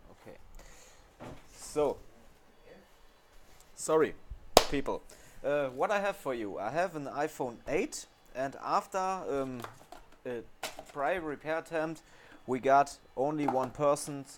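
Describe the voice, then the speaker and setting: With a German accent, a man speaks very slowly in a fairly high pitch, with ordinary pitch variation and long, frequent pauses. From Germany. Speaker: phone repair technician. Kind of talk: tutorial. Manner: halting, with many fillers.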